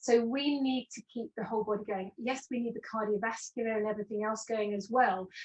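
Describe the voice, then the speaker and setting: A woman speaks at a fairly quick pace with hardly any pauses, in a plain, everyday voice. Her pitch is fairly high and her intonation fairly even. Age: 60s. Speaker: postural alignment specialist. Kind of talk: interview webinar.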